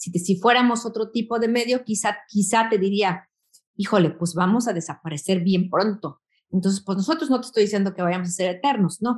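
A woman with a Mexican accent talks at a fairly quick pace and medium pitch, somewhat breathy, with ordinary pitch variation. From Mexico. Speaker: magazine founder and editor. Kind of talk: interview.

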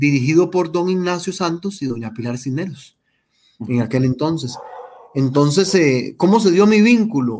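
At a moderate pace, a man speaks in an ordinary speaking voice with a fairly high pitch. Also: lively intonation. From Costa Rica, Heredia. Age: 40s. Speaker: journalist. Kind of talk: interview testimony.

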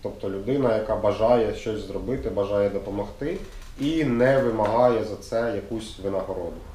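Amid noticeable background noise and audible room echo, the voice moves at a moderate pace with ordinary pitch variation. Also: man, medium pitch for a man. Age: 20s. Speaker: youth center interviewer. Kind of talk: casual interview.

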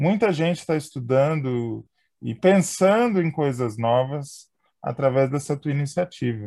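A man with a fairly high pitch and a dark, mellow tone talks at a fairly slow pace with lively intonation, on a very clean recording with a silent background. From interior of São Paulo state. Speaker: podcast host. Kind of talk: casual interview.

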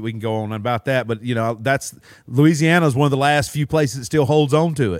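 With a Southern US accent, a man talks at a fairly quick pace and uses ordinary pitch variation. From Mississippi and Alabama.

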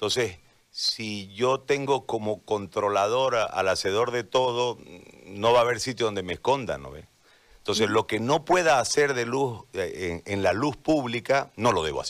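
A normal speaking voice from a man at medium pitch and moderate pace, with ordinary pitch variation and big swings in loudness. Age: 40s. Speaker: journalist turned political candidate. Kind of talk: radio interview. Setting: radio simulcast, remote connection.

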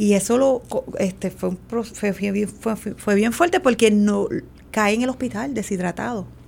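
This woman talks at a fairly slow pace. Her voice sits fairly high, with ordinary pitch variation. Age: 40s. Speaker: mother sharing her life story. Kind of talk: radio interview testimony.

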